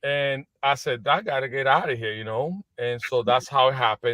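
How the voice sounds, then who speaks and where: A man talks at a fairly slow pace in a Spanish accent. His pitch sits at a medium level. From Puerto Rico. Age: 40s. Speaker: business executive. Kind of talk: interview. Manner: halting.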